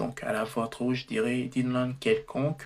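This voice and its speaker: A man with medium pitch speaks at a very slow pace. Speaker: tech tutorial youtuber. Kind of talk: tutorial. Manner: halting, frequent self-corrections.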